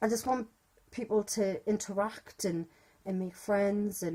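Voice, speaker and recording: In a British accent, a woman at medium pitch speaks with a dark, mellow tone. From UK. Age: 30s. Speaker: fan group admin. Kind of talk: casual vlog monologue. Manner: fast.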